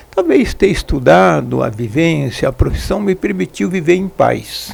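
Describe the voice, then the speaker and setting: A man talks fairly slowly, and noticeable noise can be heard behind him. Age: 80s+. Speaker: podcast host. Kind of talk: interview. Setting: studio.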